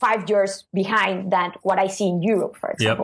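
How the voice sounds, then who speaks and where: A woman talks at a very fast pace with a non-native accent. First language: not English. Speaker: SEO consultant. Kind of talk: interview answer. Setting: online call.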